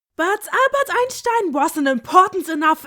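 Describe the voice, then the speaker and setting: Very wide pitch swings in a German accent, delivered at a moderate pace. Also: woman. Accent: German accent, stereotypical. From Germany. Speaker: video essayist. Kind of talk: video essay commentary. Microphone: poor audio quality.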